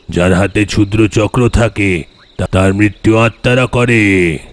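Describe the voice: A man's cartoonish character voice, fairly low in pitch and fairly slow in pace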